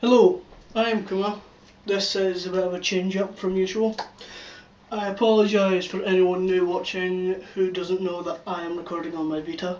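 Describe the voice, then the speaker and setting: A man with a Scottish accent, high-pitched and monotone with flat intonation, at a moderate pace amid noticeable background noise. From Scotland. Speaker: YouTube channel reviewer. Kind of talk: casual video review.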